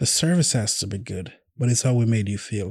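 In a very clean recording with a silent background, a man speaks fairly quickly at medium pitch in a somewhat breathy voice. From Jamaica. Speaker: chef. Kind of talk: interview. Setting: studio.

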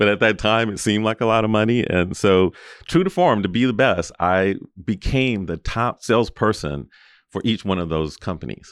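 Over a quiet background, a man with an American accent speaks at a moderate pace. His pitch is fairly low with ordinary variation, and it's a plain, everyday voice. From South Central Los Angeles. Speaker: healthcare executive. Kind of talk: interview.

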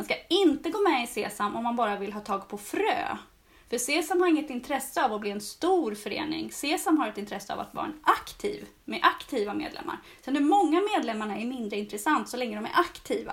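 A woman's high voice with very wide pitch swings, big swings in loudness and a fairly quick pace. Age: 40s. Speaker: gardening blogger and seed-saving course teacher. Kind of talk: casual chat.

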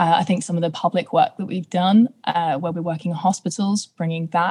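A woman speaks fairly quickly in a fairly low, somewhat breathy voice. The sound is dry and close, with no echo. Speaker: young ambassador, built environment carbon consultant.

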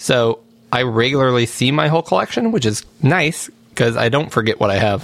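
With a plain, everyday voice, a man speaks at a fairly quick pace, medium in pitch, with very even loudness and ordinary pitch variation. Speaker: podcast host. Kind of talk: casual chat.

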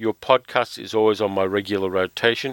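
Dry and close with no echo, a man with an Australian accent and a fairly low pitch talks at a fairly quick pace with fairly even intonation. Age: 50s. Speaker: podcast host, film reviewer. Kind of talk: casual chat.

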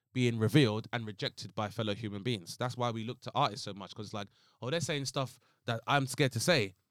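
A very fast London accent on a very clean recording with a silent background. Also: man. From Southeast London. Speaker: comedian. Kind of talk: casual chat. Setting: studio.

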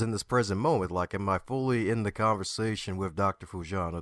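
A plain, everyday voice from a man with an American accent, fairly low in pitch with ordinary pitch variation, at a moderate pace, dry and close with no echo against a quiet background. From Baltimore, Maryland, US. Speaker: motivational speaker and author. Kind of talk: interview.

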